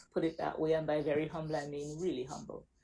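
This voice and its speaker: In a Caribbean accent, a woman speaks with a dark, mellow tone at a fairly low pitch. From Caribbean, Saint Vincent. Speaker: accountant, business owner. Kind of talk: interview.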